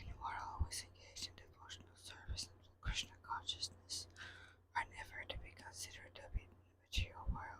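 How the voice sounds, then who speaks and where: Whispering at a moderate pace, the voice competes with noticeable background noise. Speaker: devotional reader. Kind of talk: religious text reading. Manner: whispered.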